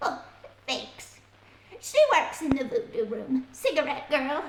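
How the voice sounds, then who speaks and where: Using a put-on character voice, a woman speaks at a fairly slow pace in a high pitch with lively intonation. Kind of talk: 1940s radio acting. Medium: audio drama. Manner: colloquial, chatty.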